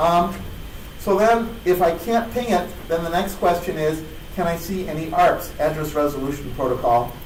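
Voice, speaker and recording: A man's high-pitched voice at a moderate pace, with ordinary pitch variation, noticeable background noise and audible room echo. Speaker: conference speaker. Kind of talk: technical talk.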